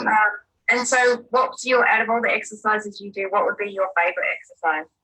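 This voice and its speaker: With a plain, everyday voice, a woman speaks at a fairly quick pace, her fairly high pitch showing ordinary variation. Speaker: interviewer. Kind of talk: interview questions.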